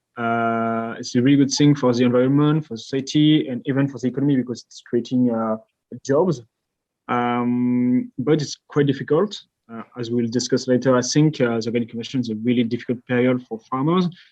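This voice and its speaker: A man with a French accent, medium pitch and fairly even intonation. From France. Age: 20s. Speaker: company co-founder. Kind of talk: podcast interview.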